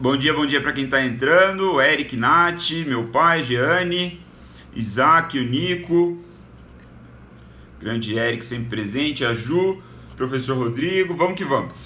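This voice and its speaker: A man with a fairly high pitch speaks at a fairly slow pace, leaving long, frequent pauses. His intonation is lively, and the room echo is audible. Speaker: business educator, live streamer. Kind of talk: live stream book summary. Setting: live stream. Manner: casual, conversational with filler words.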